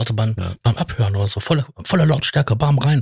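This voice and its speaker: Somewhat breathy, a man talks at a medium pitch and moderate pace with lively intonation. The sound is dry and close, with no echo. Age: 40s. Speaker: podcast co-host. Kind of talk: casual chat.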